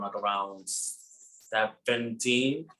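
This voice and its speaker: Speaking with a Spanish accent, a man has a medium pitch, a bright, sharp tone and fairly even intonation. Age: 20s. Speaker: ballroom performer. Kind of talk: panel discussion.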